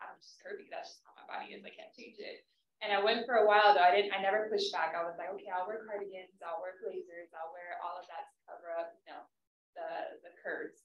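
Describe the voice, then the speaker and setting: A woman with a medium pitch talks at a very fast pace, her loudness swinging widely. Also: ordinary pitch variation. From southeast San Diego. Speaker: panelist, career professional. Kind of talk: panel discussion. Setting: live event with in-person and online audience. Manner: animated.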